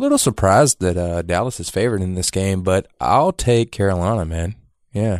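Recorded very cleanly against a silent background, with a dry, close sound and no echo, a man with a plain, everyday voice speaks at a moderate pace, at a fairly low pitch, with ordinary pitch variation. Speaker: co-host, best friend. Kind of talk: casual sports talk.

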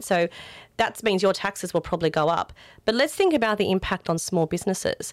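A woman speaks at a medium pitch in an Australian accent. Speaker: political candidate. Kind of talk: interview.

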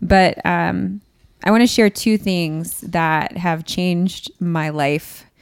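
A woman at a fairly low pitch and a very slow pace, on a very clean recording with a silent background. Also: ordinary pitch variation. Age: 20s. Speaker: podcast guest in pastoral career. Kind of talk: personal testimony in casual chat.

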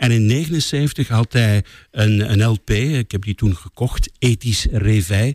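The voice moves at a very slow pace with ordinary pitch variation, very even loudness and a somewhat breathy sound, recorded very cleanly against a silent background with a dry, close sound and no echo. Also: man, medium pitch for a man. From West Flanders, Belgium. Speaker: political radio journalist. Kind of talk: casual interview.

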